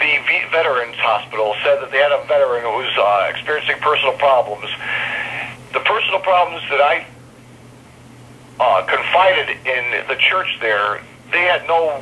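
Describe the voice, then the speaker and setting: Over noticeable background noise, a man talks with long, frequent pauses. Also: moderate pace. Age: 50s. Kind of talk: interview answer. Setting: phone line.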